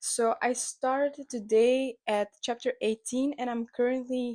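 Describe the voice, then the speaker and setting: At a very slow pace, the voice comes through a very clean recording with a silent background and a dry, close sound with no echo. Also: woman. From Belgium. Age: 20s. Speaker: book vlogger, journalism student. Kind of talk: casual talk to camera.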